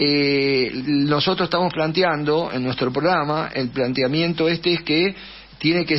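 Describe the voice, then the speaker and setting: A man speaks with a fairly high pitch. Noticeable background noise is present. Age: 70s. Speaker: political candidate and teacher. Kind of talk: radio interview. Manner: fast; hesitant, many fillers.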